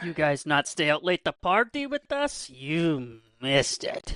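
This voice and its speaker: Against a quiet background, a man in a put-on character voice talks at a fairly slow pace, his high pitch making very wide swings. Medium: actual play.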